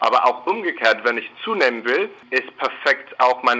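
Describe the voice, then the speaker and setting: Over noticeable background noise, a man speaks with an English accent. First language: English (speaking German). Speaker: company spokesperson. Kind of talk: radio interview.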